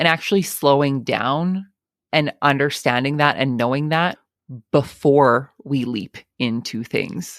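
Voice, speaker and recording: A woman with a very deep, low pitch speaks at a fairly slow pace with ordinary pitch variation on a very clean recording with a silent background. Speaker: farmer and podcast host. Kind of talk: interview conversation.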